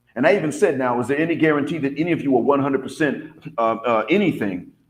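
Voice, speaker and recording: With an American accent, a man talks very fast at a fairly high pitch with lively intonation and audible room echo. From US South. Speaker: vlogger and English teacher abroad. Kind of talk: casual monologue.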